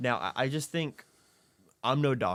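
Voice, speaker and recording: A man speaks with ordinary pitch variation. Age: 20s. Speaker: podcast host. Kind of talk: casual chat.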